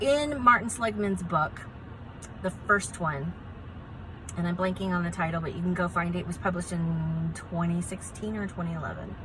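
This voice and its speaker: The speaker sounds animated and keeps a moderate pace. Room echo is audible. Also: woman. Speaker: positive psychologist. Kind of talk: educational talk to camera.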